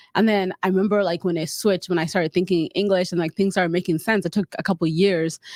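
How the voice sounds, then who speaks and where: A very fast, flat, monotone delivery in a South Sudanese accent, with hardly any pauses, very even loudness, and a dry, close sound with no echo on a very clean recording with a silent background. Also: woman, medium pitch for a woman. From South Sudanese refugee camp in Kenya, raised in Utah. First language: Dinka. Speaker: public health graduate. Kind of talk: casual chat.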